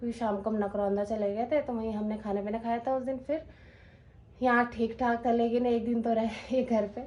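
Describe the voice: Her voice is fairly high with little pitch movement, and this woman has a slightly mellow tone. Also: fairly quick pace.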